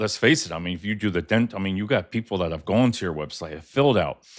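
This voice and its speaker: A man races along at a very fast pace with a fairly low pitch. The recording is very clean, the background silent. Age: 60s. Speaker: podcast co-host. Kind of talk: live podcast chat. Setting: live video stream.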